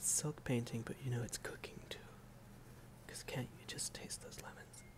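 Someone whispers at a moderate pace with long, frequent pauses. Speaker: silk painter. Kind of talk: ASMR soft-spoken talk to camera while painting. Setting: home room with outdoor noise. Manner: soft-spoken. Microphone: phone near.

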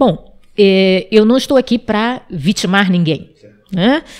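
A woman is speaking. The background is quiet. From Amapá, northern Brazil (Wayampi village); Amapá, Brazil. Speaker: interview guest. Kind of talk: interview. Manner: hesitant, many fillers. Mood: earnest, sometimes smiling. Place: studio. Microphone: studio mic.

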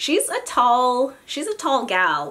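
A woman's voice swings very widely in pitch. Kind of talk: casual talk to camera. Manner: casual, chatty.

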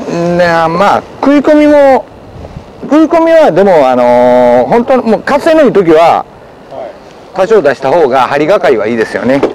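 A man talks at a moderate pace in a high voice with very wide pitch swings. The sound is dry with no echo, and light background noise runs underneath. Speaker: fishing expert. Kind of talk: casual outdoor fishing talk explaining technique. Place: waterside.

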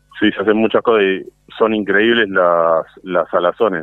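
Over music in the background, a man with a fairly low pitch speaks in a Rioplatense accent at a fairly slow pace. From Ramos Mejía, Buenos Aires, Argentina. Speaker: butcher shop owner. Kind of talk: interview. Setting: phone call.

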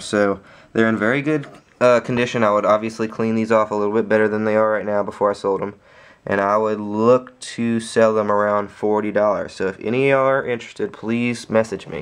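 At a moderate pace, a man talks in a fairly low voice. His intonation is monotone and flat. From Louisiana. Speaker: YouTuber reviewing soccer cleats. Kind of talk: casual product review video. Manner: casual, many fillers and hesitations. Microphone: phone near.

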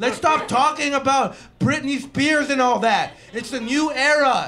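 An extremely high-pitched, raised and projected male voice with ordinary pitch variation at a fairly slow pace, over light background noise. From western Canada. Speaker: comedian. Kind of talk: improvised stand-up. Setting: stage with audience. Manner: animated. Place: stage. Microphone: handheld.

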